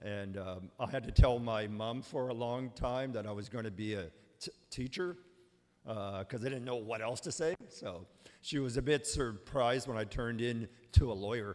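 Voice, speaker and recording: A man with a Canadian Prairie accent, medium pitch, ordinary pitch variation and a moderate pace. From Manitoba, Canada. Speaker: lawyer. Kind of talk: presentation. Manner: halting.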